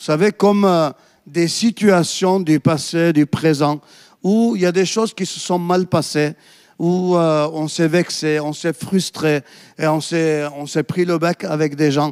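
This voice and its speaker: In a dry, close recording with no echo, a man talks very slowly in a high voice with fairly even intonation. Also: very clean recording, silent background. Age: 50s. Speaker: pastor. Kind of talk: sermon.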